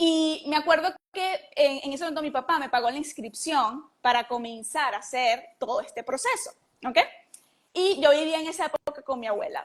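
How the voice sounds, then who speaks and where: Here is a woman with a high voice. She speaks at a moderate pace. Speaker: entrepreneur and mentor. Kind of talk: interview. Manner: hesitant, with repetitions.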